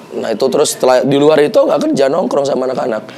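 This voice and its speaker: Amid audible room echo and noticeable background noise, a man rushes along at a very fast pace. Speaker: podcast host, former radio announcer and stand-up comedian. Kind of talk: casual chat.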